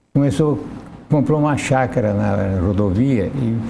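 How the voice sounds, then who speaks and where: The intonation is lively as a man speaks. Audible room echo fills the recording. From Brazil, interior of São Paulo state. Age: 80s+. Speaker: interview guest. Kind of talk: TV interview.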